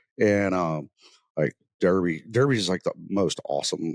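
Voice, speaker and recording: A man with a Southern US accent, in dry, close sound with no echo. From US South, North Mississippi. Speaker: podcast host, military veteran. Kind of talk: casual chat. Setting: on location, not in studio.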